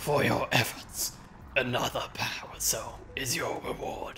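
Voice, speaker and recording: A man's put-on character voice at a fairly slow pace over clear background noise. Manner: projected, dramatic.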